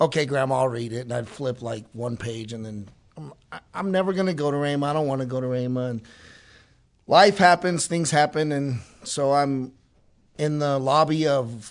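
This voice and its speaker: Against a quiet background, a man with a normal speaking voice talks at a fairly quick pace, his fairly high pitch showing ordinary variation. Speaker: Bible school student. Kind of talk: testimony.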